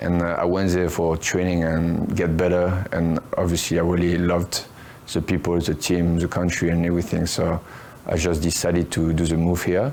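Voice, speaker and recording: With a French accent, a man speaks at a moderate pace in a very deep, low voice, his intonation monotone and flat and his loudness very even. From France. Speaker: professional fighter. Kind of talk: interview. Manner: hesitant, many fillers.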